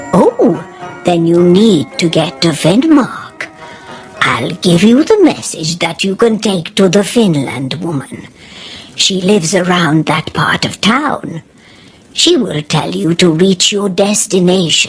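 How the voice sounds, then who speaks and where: Over music in the background, a woman uses a put-on character voice at a medium pitch. She speaks at a fairly slow pace with lively intonation. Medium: read story.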